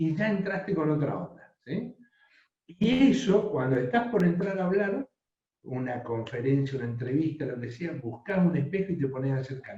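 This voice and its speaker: Speaking with lively intonation, a man has a fairly high pitch. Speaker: professor teaching a workshop. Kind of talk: online workshop lecture. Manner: slow.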